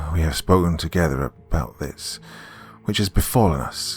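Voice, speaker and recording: A man puts on a character voice that is husky and very deep, low in pitch. He speaks at a moderate pace with music in the background. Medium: read story. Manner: halting, archaic, pious.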